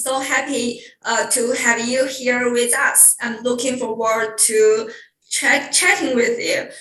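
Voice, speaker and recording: A woman speaks at a high pitch with a Chinese accent. Audible room echo fills the recording. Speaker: webinar host. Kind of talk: hosted online talk introduction. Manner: halting.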